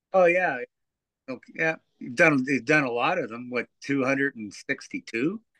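Speaking in a rural Ontario accent, a man talks at a moderate pace and a fairly high pitch, with ordinary pitch variation and big swings in loudness. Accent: Canadian (rural Ontario). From Ontario, Canada (Teeswater). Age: 60s. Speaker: amateur hockey player and coach, fishing guide. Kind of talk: casual chat. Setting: shed.

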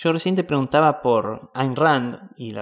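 A man's fairly high voice with ordinary pitch variation, in a Rioplatense accent. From Mar del Plata, Argentina. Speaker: podcast host. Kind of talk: interview.

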